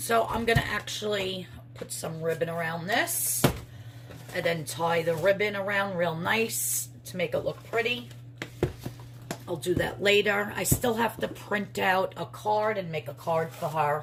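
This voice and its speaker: A woman with a New York accent speaks at a fairly low pitch and a fairly slow pace. Her pitch swings very widely. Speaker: crafter and soap maker vlogger. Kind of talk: casual vlog.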